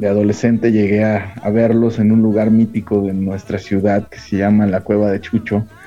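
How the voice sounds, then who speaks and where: Over noticeable background noise, a man speaks at a moderate pace with hardly any pauses, his fairly low pitch held in a monotone, flat intonation. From Mexico, Michoacán (Morelia). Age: 40s. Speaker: filmmaker. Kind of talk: casual interview chat.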